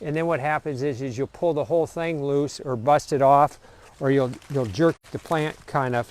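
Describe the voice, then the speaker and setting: With an American accent, a man speaks in an unremarkable speaking voice at a fairly high pitch and moderate pace, his intonation fairly even and the sound dry and close with no echo. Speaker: vineyard owner. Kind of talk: live video tour. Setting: outdoors. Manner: casual, rambling.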